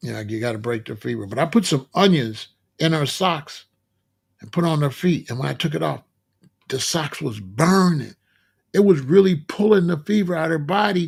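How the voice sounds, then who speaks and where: Speaking at a moderate pace, a man with a fairly high voice uses lively intonation and big swings in loudness. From Chicago. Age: 60s. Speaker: vegan health streamer. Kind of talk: live stream monologue. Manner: casual, conversational.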